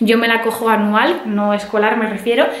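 A woman with fairly high pitch, little pitch movement, a moderate pace and audible room echo

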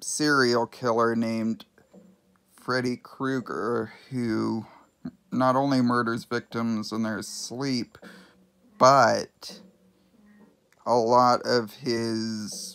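With music in the background, a man speaks at a very slow pace, leaving long, frequent pauses, his intonation fairly even. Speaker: amateur movie reviewer. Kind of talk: casual talk to camera. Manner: stuttering. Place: home room. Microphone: phone near.

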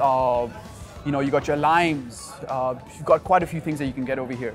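Over clear music in the background, a man speaks with ordinary pitch variation. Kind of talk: interview answer. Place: market.

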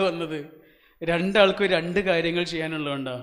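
High-pitched male voice with fairly even intonation and audible room echo. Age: 40s. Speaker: motivational speaker. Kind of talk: motivational speech to audience. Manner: interactive, questioning the audience.

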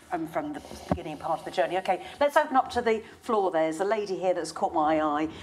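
A woman speaks at a very fast pace with lively intonation. Light background noise sits behind her. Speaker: event chair; panel host, moderator. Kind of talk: panel moderation. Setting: stage with audience. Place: hall. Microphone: lapel.

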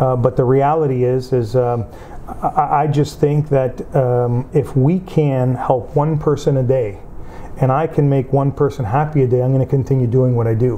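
The man's intonation stays fairly even at a fairly slow pace. Light background noise can be heard. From Windsor, Ontario, Canada; Calabrian parents; Ontario. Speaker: union leader and community figure; interviewee. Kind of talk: interview. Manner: halting, with fillers. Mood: earnest, reflective. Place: home room.

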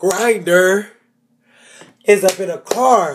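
A man with a high-pitched voice speaks very slowly. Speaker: TV recap vlogger. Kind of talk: casual TV episode recap. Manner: animated.

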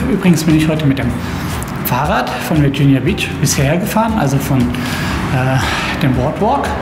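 Loud background noise fills the clip as a man speaks. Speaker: travel vlogger. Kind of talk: casual vlog chat. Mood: relaxed, enthusiastic. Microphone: phone near.

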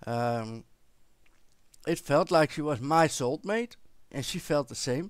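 Against a quiet background with dry sound and no echo, a man speaks very slowly in a Dutch accent with lively intonation. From Netherlands. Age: 40s. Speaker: vlogger. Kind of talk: personal storytelling to camera. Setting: recording at home with headset microphone. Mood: warm, reflective storytelling. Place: home room. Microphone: headset.

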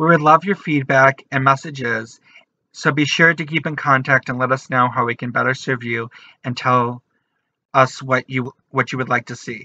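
Over a quiet background, a man with a bright, sharp tone speaks at a moderate pace with fairly even intonation. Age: 20s. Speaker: artist, writer and activist. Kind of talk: channel introduction to camera. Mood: warm, earnest. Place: home room. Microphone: webcam.

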